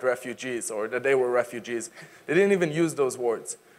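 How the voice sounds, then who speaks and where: With an Israeli accent, a man talks at a very fast pace. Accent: Israeli, non-native English. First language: Hebrew and Arabic. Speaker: advocacy speaker. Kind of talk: public talk. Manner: energetic, engaging.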